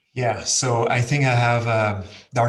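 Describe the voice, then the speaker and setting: A man speaks with a French accent in a somewhat breathy voice. His intonation is monotone and flat, with audible room echo. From France. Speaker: learning and development director. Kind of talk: panel discussion.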